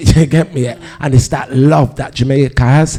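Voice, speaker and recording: A man's dark, mellow tone at a moderate pace, with fairly even intonation. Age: 50s. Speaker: DJ and music producer. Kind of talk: panel discussion.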